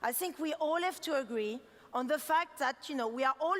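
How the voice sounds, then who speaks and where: A woman with a strong French accent at a fairly quick pace, amid noticeable background noise. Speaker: designer giving keynote. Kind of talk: keynote talk. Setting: stage with audience. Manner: fast; animated.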